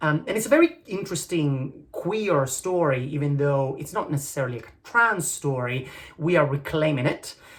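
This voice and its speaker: Noticeable background noise and a moderate pace. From Italy. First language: Italian. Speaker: actor and musical theatre writer. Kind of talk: video application pitch. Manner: hesitant, many fillers.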